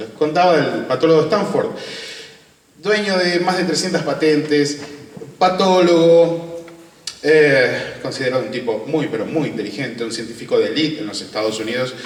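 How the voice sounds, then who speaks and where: A man with a fairly high pitch, lively intonation, and a moderate pace, amid audible room echo and noticeable background noise. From Argentina. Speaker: UFO researcher and interviewer. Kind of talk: conference talk.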